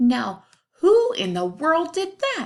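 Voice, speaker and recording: A woman puts on a squeaky character voice. It is extremely high, with very wide pitch swings. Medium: read story.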